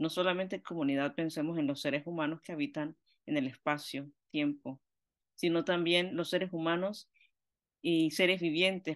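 A woman's very deep, low voice at a moderate pace, with fairly even intonation and a quiet background. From Panama. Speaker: theologian and missionary; guest. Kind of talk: lecture. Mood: warm, engaged. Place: home room. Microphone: webcam.

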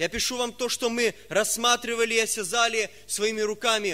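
A man speaks in a raised, projected voice at a moderate pace, his tone bright and sharp. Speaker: preacher. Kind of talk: sermon. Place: church. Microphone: podium.

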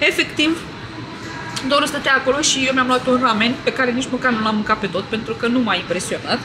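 A woman with a high pitch uses a raised, projected voice at a fairly quick pace, with ordinary pitch variation. Noticeable background noise can be heard. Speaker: vlogger. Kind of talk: casual vlog chat.

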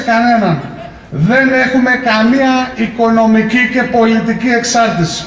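Fairly slow speech from a man with an extremely high pitch, with audible room echo. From Greece, Skydra (Pella, Macedonia); Greece. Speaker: mayoral candidate, politician; candidate, politician. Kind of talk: campaign speech. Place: street.

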